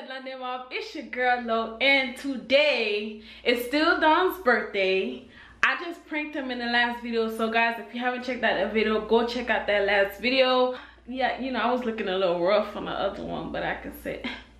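Audible room echo surrounds a woman's high-pitched voice, which shows ordinary pitch variation and big swings in loudness. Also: moderate pace. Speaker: vlogger. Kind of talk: casual vlog chat. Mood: cheerful, joking. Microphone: phone near.

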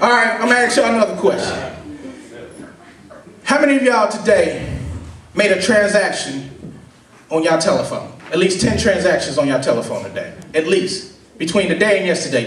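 A man's high, energetic voice with lively intonation at a moderate pace, plus audible room echo and light background noise. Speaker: preacher / sermon speaker. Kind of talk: sermon to a live congregation. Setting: live church gathering with audience responses. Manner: energetic, conversational, call-and-response. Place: hall.

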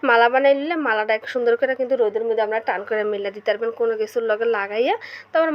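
A woman's fairly high voice in a Bangladeshi accent, with ordinary pitch variation. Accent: regional Bangladeshi dialect. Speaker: home cook, cooking video host. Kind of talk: cooking tutorial.

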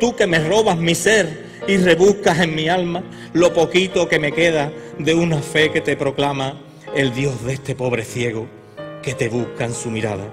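Over clear music in the background, a man with a fairly high pitch speaks at a fairly slow pace with lively intonation. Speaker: Holy Week proclaimer, poet. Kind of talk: poetry reading. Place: stage. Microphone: podium.

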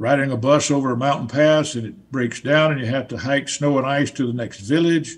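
A voice with a Southern US accent speaks at a moderate pace with ordinary pitch variation. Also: man.

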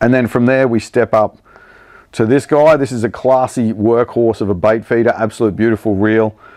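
A slightly mellow tone at a moderate pace, with fairly even intonation. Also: man, medium pitch for a man.

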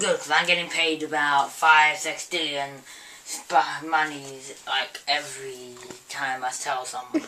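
Putting on a character voice, a woman speaks at a very deep, low pitch with fairly even intonation and a fairly slow pace over light background noise. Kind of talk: comedic acted dialogue. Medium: short film. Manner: casual, offhand. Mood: boastful, offhand.

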